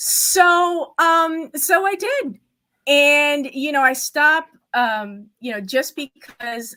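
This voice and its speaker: Speaking at a very slow pace, a woman uses a high pitch, lively intonation, a raised, projected voice and a bright, sharp tone. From Cuban heritage, native Spanish speaker. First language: Spanish. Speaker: estate planning attorney. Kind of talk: interview. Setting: video call from her office. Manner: hesitant, many fillers.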